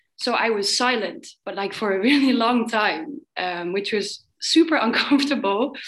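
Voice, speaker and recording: This woman has an ordinary speaking voice, fairly high in pitch, with ordinary pitch variation and a fairly slow pace. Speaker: workshop participant. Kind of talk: sharing in group discussion.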